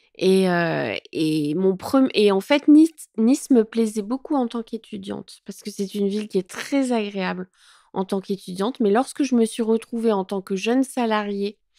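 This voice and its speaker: Recorded very cleanly against a silent background with a dry, close sound and no echo, a woman of medium pitch speaks at a moderate pace with ordinary pitch variation. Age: 40s. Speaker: content creator. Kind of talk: interview. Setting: at her home. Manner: hesitant, many fillers.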